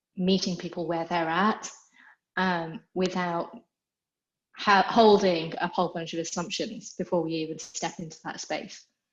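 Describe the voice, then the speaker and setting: An even, fairly level intonation runs through the speech. The accent is British. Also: woman. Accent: British accent, noticeable to Americans. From England. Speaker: equine therapy institute founder. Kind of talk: interview. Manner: conversational, with filler words.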